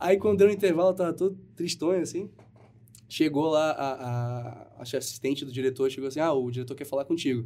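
A man talks at a fairly quick pace. His voice is fairly high, with a dark, mellow tone. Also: ordinary pitch variation. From Brazil, Manaus. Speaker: actor. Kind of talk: casual chat.

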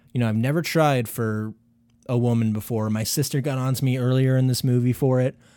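On a very clean recording with a silent background, a man with a dark, mellow tone speaks at a medium pitch and a fairly quick pace, with fairly even intonation and very even loudness. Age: 20s. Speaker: podcast co-host. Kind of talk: casual chat.

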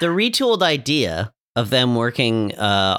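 At a fairly slow pace, a man talks with a medium pitch and lively intonation. His tone is bright and sharp, and the sound is dry and close with no echo. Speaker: podcast host. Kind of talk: casual chat, podcast review. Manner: dry, joking.

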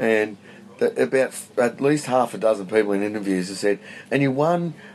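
With an Australian accent, a man speaks at medium pitch and a moderate pace, his intonation lively. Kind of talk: casual chat. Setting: outdoors.

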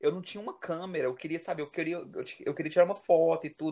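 This man speaks with a high pitch. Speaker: podcast co-host. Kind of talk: casual chat.

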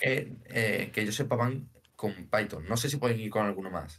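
A man talks in an unremarkable speaking voice, fairly low in pitch. His pace is moderate and his pitch varies in an ordinary way. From Spain, Seville (Andalusia). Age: 20s. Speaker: data engineer. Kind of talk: casual interview.

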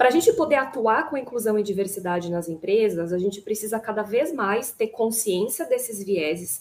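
With an unremarkable speaking voice, a woman talks at a moderate pace and fairly high pitch, with hardly any pauses. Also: lively intonation. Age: 30s. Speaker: panel moderator, HR manager. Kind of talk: panel discussion.

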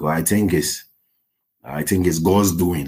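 Vocal fry runs through this man's voice at a very slow pace. His pitch varies in an ordinary way. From Ghana. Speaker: healthcare assistant. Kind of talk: interview.

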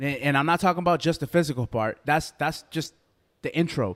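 This man talks at a fairly quick pace with ordinary pitch variation. He has a plain, everyday voice. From US, Boston. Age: 30s. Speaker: podcast co-host. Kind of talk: casual chat.

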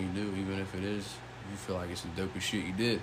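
A man's fairly low voice, very fast and monotone, with noticeable background noise. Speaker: podcast host. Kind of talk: casual chat. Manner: casual, profane.

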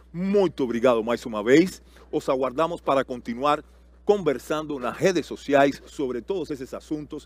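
This man has a Cuban accent and a fairly high pitch, speaking at a fairly slow pace with ordinary pitch variation. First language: Spanish (speaking Portuguese). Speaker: panel moderator. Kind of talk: panel moderation.

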